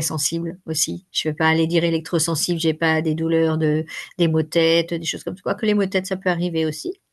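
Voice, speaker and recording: Her pace is moderate and her pitch fairly low for a woman. The background is quiet. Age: 60s. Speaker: workshop facilitator and coach. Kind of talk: interview. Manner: hesitant, many fillers.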